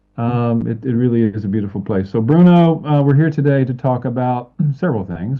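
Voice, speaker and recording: A man with an Alabama accent, medium pitch and ordinary pitch variation. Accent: Southern US (Alabama). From US South, Alabama. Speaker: talk show host. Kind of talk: interview. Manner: fast.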